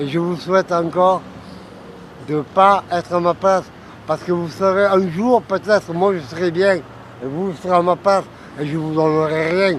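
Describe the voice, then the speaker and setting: A man with a high voice speaks at a moderate pace in a fairly even tone, over noticeable background noise. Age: 60s. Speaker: homeless man. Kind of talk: personal testimony. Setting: outdoors on a street bench. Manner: halting.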